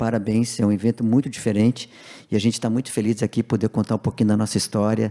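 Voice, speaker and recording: In a very clean recording with a silent background, the sound is dry and close with no echo. A man speaks at a fairly low pitch in a dark, mellow tone with monotone, flat intonation. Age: 60s. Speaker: business owner. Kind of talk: panel discussion.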